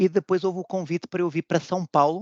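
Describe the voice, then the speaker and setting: The man's voice is dry and close, with no echo. The background is quiet. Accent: European Portuguese. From Portugal. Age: 40s. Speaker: food quality manager. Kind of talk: interview. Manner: halting, many repetitions.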